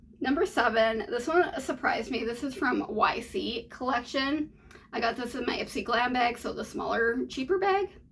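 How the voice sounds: This is a raspy, put-on character voice. It moves at a moderate pace. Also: woman, high pitch for a woman.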